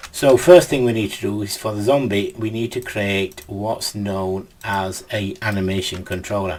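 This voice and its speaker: A man of fairly low pitch with fairly even intonation, a moderate pace and hardly any pauses, over noticeable background noise. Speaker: game development tutor. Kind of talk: tutorial.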